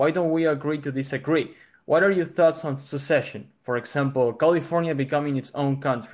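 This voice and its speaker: Against a quiet background, a man with a strong Argentine accent speaks fairly quickly in a fairly high voice with ordinary pitch variation. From Argentina. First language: Spanish. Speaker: caller debating a political view. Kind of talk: debate. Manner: polite, measured.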